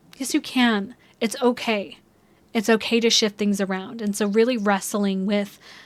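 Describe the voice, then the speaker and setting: The recording is very clean, with a silent background. A woman speaks at a moderate pace in a flat, monotone way. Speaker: astrologer. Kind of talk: astrology reading monologue. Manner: casual, filler-heavy.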